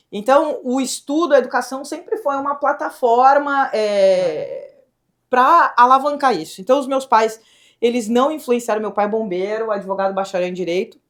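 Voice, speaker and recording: A woman's high-pitched, animated voice in a southern Brazilian accent, with lively intonation at a moderate pace, on a very clean recording with a silent background. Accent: gaúcho. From southern Brazil, Rio Grande do Sul (Pelotas). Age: young. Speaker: state government secretary, former tech executive. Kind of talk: podcast interview.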